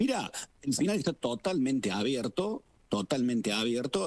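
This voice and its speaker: Lively intonation marks this man's speech at a fairly quick pace. His pitch is medium. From Argentina. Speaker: political scientist and professor; professor. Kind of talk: expert interview. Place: studio.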